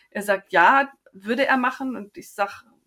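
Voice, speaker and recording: Her voice has a bright, sharp tone. The woman's pitch varies in an ordinary way. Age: 50s. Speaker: endometriosis patient. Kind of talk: interview.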